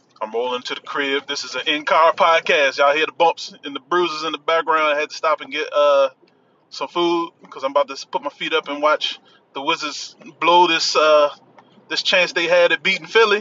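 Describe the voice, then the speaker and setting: At a fairly quick clip, a man talks in a fairly high voice whose pitch shifts in an ordinary way. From Washington DC. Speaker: podcast host. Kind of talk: casual solo podcast shoutout. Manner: casual, conversational, filler-heavy.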